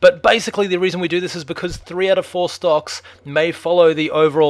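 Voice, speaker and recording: A man speaks in an Australian accent. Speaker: stock market commentator. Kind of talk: market analysis video. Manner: casual, filler-heavy.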